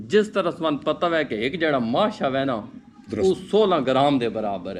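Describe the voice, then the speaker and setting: A fairly high-pitched man swings his pitch very widely, with noticeable background noise behind him. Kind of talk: podcast conversation.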